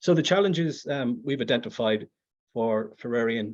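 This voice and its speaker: A man talks with a Belfast accent. His pitch sits at a medium level. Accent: Northern Irish, Belfast. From Northern Ireland, Belfast. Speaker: conference presenter, educator. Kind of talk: academic presentation. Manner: halting, many fillers and repetitions.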